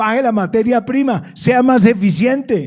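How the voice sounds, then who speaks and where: In a very clean recording with a silent background, a man talks at a fairly slow pace in an extremely high pitch, his tone animated and his intonation lively. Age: 70s. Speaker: businessman. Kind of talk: panel discussion. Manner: animated, repetitive.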